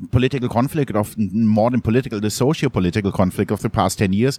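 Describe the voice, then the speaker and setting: A man talks at a fairly quick pace, with a dry, close sound and no echo. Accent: German. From Germany, Munich (Bavaria). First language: German. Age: 40s. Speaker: photojournalist. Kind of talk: interview conversation. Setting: coffee shop.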